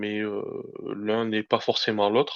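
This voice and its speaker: A man is speaking. His pitch is medium. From southwest France, near Cahors. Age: 40s. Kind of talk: interview. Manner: halting.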